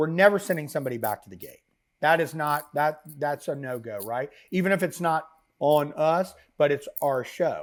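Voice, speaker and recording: A man's fairly high voice in an American accent, with ordinary pitch variation, on a very clean recording with a silent background. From Florida (Orlando). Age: 50s. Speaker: live events and tour hospitality entrepreneur. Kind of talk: casual podcast interview. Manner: animated, fast, with many fillers.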